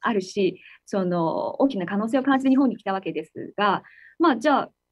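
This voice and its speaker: A woman speaks with a Chinese accent at a moderate pace against a quiet background. Her intonation is lively. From China. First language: Chinese (speaking Japanese). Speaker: tech company executive; guest. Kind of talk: interview. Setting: video call. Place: office. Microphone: video call.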